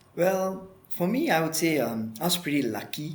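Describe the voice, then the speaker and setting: Audible room echo hangs around a man's voice as he talks with ordinary pitch variation. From Malaysia, near Kuala Lumpur (Kajang). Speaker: marine conservationist. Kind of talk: interview.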